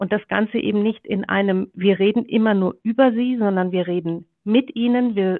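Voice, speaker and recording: A normal speaking voice at a moderate pace, with fairly even intonation. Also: woman. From Germany, Ruhr area. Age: 40s. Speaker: media executive. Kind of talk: interview. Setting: video call.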